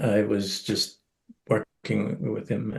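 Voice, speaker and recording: A man talks very slowly in a fairly low pitch. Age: 70s. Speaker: EFT practitioner and trainer. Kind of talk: interview. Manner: halting.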